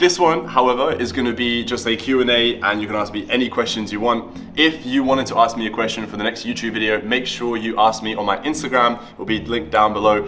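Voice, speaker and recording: A man's medium-pitched voice at a very fast pace with ordinary pitch variation, audible room echo and music in the background. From Latvia, moved to the UK at ten. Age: 20s. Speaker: entrepreneur and YouTuber. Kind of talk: casual Q&A vlog.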